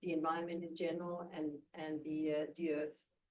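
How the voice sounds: A woman speaks at a fairly low pitch with a dark, mellow tone. Room echo is audible.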